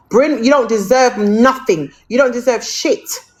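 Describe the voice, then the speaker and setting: Lively intonation from a woman at a moderate pace, with noticeable background noise. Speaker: TikTok live streamer. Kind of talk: heated live-stream rant. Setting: TikTok live stream. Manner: angry, loud, repetitive.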